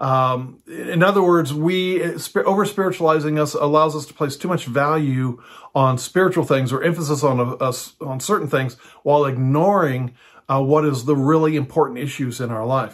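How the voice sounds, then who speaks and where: A man speaks in a plain, everyday voice with a fairly high pitch. He holds a moderate pace and ordinary pitch variation. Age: 60s. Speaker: pastor and house church teacher. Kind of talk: teaching monologue. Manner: casual with frequent fillers.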